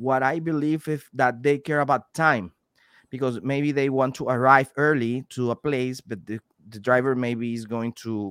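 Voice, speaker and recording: Recorded with a dry, close sound and no echo, a man with a Venezuelan accent speaks at a fairly slow pace with fairly even intonation. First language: Spanish. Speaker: delivery driver and YouTuber, guest co-host. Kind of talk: casual chat. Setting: video call. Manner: halting, frequent repetitions and self-corrections.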